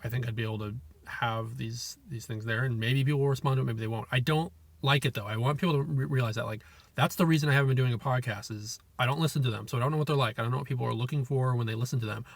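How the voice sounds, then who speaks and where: In an American accent, a man talks at a very fast pace with a medium pitch, somewhat breathy, and with fairly even intonation. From California. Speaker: video creator, solo monologue. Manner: fast talker.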